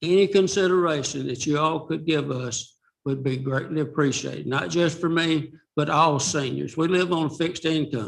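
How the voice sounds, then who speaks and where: A man with a fairly high pitch and a Southern US accent. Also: ordinary pitch variation, moderate pace. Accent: Southern US (Georgia). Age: 70s. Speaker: retired resident speaking at public comment. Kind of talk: public comment at school board meeting.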